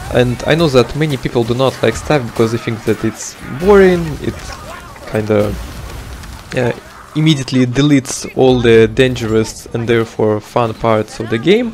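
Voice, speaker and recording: Over music in the background, a man with a non-native accent speaks at a moderate pace and medium pitch with ordinary pitch variation. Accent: non-native English accent, self-noted. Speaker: video game guide creator. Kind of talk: gameplay tutorial. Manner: hesitant, frequent filler words.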